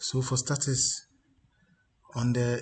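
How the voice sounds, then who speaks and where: A man speaks quietly at a fairly slow pace. His voice sounds strained and somewhat breathy. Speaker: baccarat strategy youtuber. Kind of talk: screen-share tutorial. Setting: office. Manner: quiet, restrained volume; halting, many fillers and repeats.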